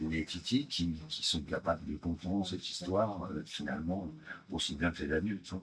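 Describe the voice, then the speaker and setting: A man speaks with a very deep, low pitch, ordinary pitch variation and a somewhat breathy quality. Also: moderate pace. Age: 60s. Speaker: stage actor. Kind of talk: promotional interview. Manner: hesitant, many fillers.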